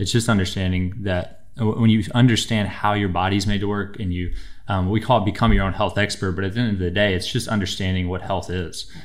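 At a fairly quick pace, a man with a fairly low pitch speaks in a monotone, flat intonation over a quiet background. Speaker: chiropractor guest. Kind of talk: interview answer. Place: studio. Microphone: studio mic.

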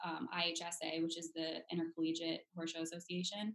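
Against a quiet background, a woman speaks with a fairly low pitch and fairly even intonation. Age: 20s. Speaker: brand manager and equestrian; podcast guest. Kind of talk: casual chat. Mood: friendly, relaxed. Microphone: video call.

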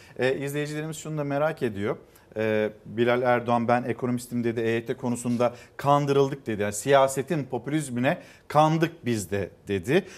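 Ordinary variation marks the pitch. A man delivers his words at a moderate pace. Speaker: morning news TV host. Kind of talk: morning news show. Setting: TV studio. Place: studio. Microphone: lapel.

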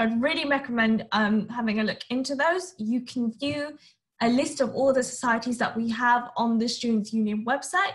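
Pitched high, a woman speaks at a moderate pace with ordinary pitch variation. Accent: London. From Northwest London. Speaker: university student. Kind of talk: presentation.

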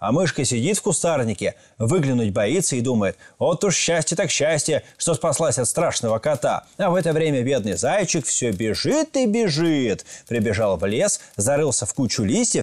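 A man talks at a moderate pace with vocal fry. His pitch swings very widely. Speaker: storyteller host. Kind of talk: storytelling and commentary. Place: studio. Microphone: lapel.

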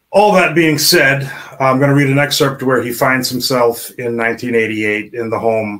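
At a fairly slow pace, a man talks in a normal speaking voice, medium in pitch with ordinary pitch variation. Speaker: indie author. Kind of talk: casual chat. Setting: video call.

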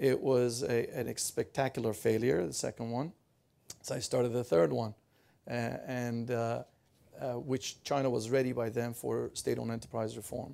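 With a dark, mellow tone, a man moves at a moderate pace, his pitch varying in an ordinary way. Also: medium pitch for a man. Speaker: business executive. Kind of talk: panel discussion.

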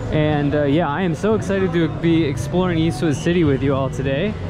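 A man talks at a moderate pace and with ordinary pitch variation while music plays in the background. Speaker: travel vlogger. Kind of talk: casual vlog chat. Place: street. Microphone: phone near.

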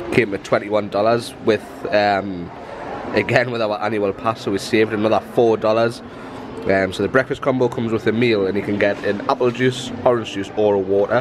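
Amid noticeable background noise, a man with a fairly low pitch speaks at a moderate pace. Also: fairly even intonation. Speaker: travel vlogger. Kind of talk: casual vlog chat. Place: cafe. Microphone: phone near.

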